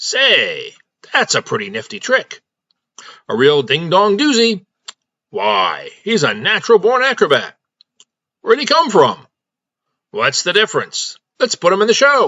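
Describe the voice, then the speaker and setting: A man speaks in a put-on character voice, pitched high. His pace is moderate, broken by long, frequent pauses. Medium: read story. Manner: excited, folksy.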